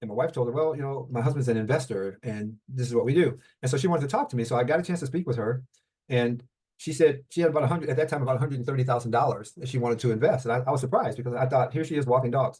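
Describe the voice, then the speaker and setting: Speaking very rapidly, a man has a somewhat breathy voice. His pitch varies in an ordinary way. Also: medium pitch for a man. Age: 70s. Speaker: mortgage note investor. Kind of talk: interview. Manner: halting.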